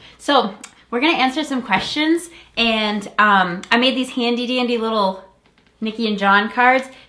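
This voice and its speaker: A woman speaks loudly at a fairly high pitch with a bright, sharp tone. Her pace is moderate and her pitch varies in an ordinary way. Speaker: vlogger, fiancée. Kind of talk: casual chat.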